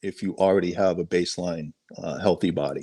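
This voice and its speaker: Against a quiet background, a man with a slight Boston accent speaks at a moderate pace. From Boston suburbs, Massachusetts. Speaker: sheriff helicopter pilot. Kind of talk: casual interview.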